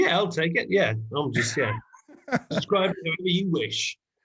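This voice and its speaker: Lively intonation in an English accent, with very even loudness. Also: man, high pitch for a man, moderate pace. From England. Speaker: hip hop artist. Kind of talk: podcast interview answer.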